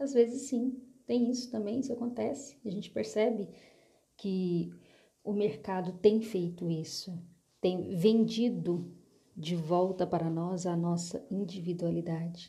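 Her tone dark and mellow and somewhat breathy, a woman speaks fairly slowly with lively intonation amid audible room echo. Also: medium pitch for a woman. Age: 30s. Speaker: therapist. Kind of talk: solo monologue.

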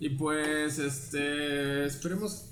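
Through audible room echo and noticeable background noise, a man speaks at a fairly high pitch with a Mexican accent. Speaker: podcast host. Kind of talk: casual chat.

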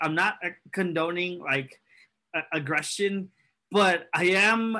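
Here a man with an American accent speaks in a high pitch with ordinary pitch variation. His raised, projected voice has a bright, sharp tone. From California. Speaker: soccer podcast co-host. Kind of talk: casual banter podcast.

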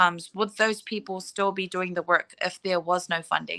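A woman's bright, sharp voice carries monotone, flat intonation on a very clean recording with a silent background and a dry, close sound with no echo. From New Zealand, South Auckland. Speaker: entrepreneur and community advocate. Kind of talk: casual interview chat.

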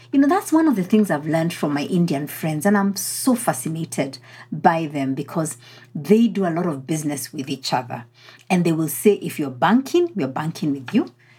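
A woman speaks at a fairly quick pace with lively intonation and a fairly low pitch. Her tone is dark, mellow and somewhat breathy. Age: 40s. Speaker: leadership coach and podcast host. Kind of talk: solo motivational podcast talk.

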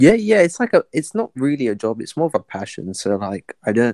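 A man with an English accent talks at a fairly quick pace with ordinary pitch variation. The sound is dry and close, with no echo. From England. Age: 20s. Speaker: podcast guest. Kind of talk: casual chat. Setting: online video or voice chat.

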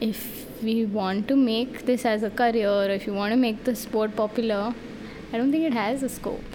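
Over noticeable background noise, the voice moves at a moderate pace with fairly even intonation. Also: woman. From India. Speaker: powerlifter. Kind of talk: casual chat.

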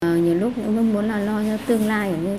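Noticeable background noise sits under speech with fairly even intonation. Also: woman. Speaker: mother living with HIV. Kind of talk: testimony.

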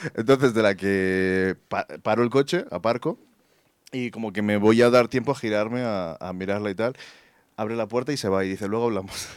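A man's plain, everyday voice at a fairly low pitch, with ordinary pitch variation, a moderate pace and a very clean recording with a silent background. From Colombia. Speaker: photographer. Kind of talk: storytelling. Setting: stage with audience.

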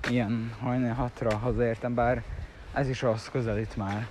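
With audible room echo and noticeable background noise, a man speaks at a medium pitch and a fairly slow pace in a monotone, flat delivery. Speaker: vlogger. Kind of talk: casual monologue. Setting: outdoors, walking to train at dawn. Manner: rambling, halting.

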